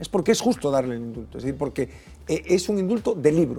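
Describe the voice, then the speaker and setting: Faint music plays behind a man who speaks at a very fast pace in a fairly high voice. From Galicia, La Estrada; Galicia. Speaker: political commentator. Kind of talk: panel debate. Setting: TV studio. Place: studio. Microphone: lapel.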